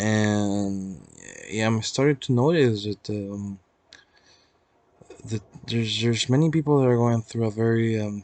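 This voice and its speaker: A man speaks with a medium pitch at a fairly slow pace. His pitch varies in an ordinary way. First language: Spanish. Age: 20s. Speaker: vlogger. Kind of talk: casual personal vlog. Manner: halting.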